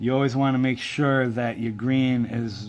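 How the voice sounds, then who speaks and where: Here a man speaks with monotone, flat intonation. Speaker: paracord craft tutorial maker. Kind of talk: tutorial. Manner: soft-spoken; halting, many fillers.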